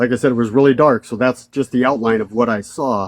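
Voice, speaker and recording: This man's voice sits at a medium pitch. His intonation stays fairly even. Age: 60s. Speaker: army veteran. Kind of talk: testimony. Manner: halting.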